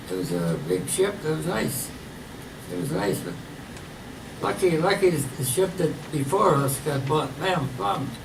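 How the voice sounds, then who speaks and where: Amid noticeable background noise and audible room echo, a man's fairly high voice swings very widely in pitch. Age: 90s. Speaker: war veteran. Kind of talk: testimony. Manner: halting.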